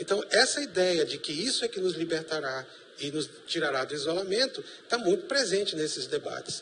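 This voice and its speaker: A man talks at a high pitch with lively intonation and a moderate pace. Noticeable background noise runs under his voice. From Brazil, Manaus (Amazonas). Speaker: professor. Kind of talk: TV panel debate.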